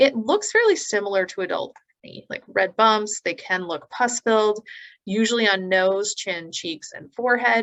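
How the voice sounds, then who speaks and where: With a Canadian accent, a woman speaks at a moderate pace in a fairly high pitch, using ordinary pitch variation. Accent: Canadian pronunciation of eczema. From Canada. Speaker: naturopathic doctor. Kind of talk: educational presentation.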